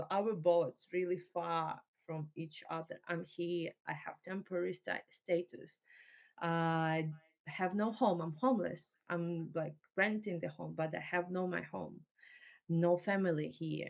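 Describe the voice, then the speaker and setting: A woman with a Ukrainian accent speaks at a fairly slow pace. Her fairly low voice keeps a fairly even intonation. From Ukraine. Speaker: refugee entrepreneur. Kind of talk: interview. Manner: halting, many fillers.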